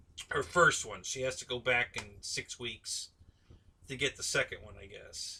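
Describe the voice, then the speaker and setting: Very slowly, a man speaks with an American accent. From Ohio, US. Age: 60s. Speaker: RC aviation live streamer. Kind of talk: casual live stream chat. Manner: halting.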